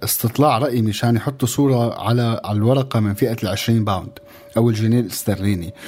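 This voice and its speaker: Fairly quick delivery and fairly even intonation over noticeable background noise. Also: man, medium pitch for a man. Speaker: radio co-host. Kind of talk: casual radio chat.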